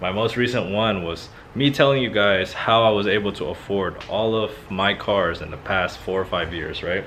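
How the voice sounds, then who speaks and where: A man's fairly low voice with a Filipino accent, ordinary pitch variation, a moderate pace, hardly any pauses, and noticeable background noise. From Philippines. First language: Filipino language. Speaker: car YouTuber. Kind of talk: casual vlog talk.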